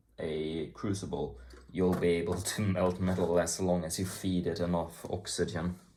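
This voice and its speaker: A man with an American accent speaks in a very deep, low pitch and a dark, mellow tone. His intonation is fairly even at a moderate pace, with audible room echo. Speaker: hobbyist YouTuber taking apart electronics. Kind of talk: casual tutorial-style vlog. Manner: casual, profane, rambling.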